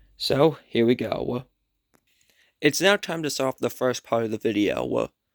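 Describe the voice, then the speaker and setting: On a very clean recording with a silent background, a man talks at a fairly slow pace and medium pitch with vocal fry and ordinary pitch variation. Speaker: YouTuber, toy collector. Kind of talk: collection showcase video. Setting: at home at night. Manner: soft-spoken; halting.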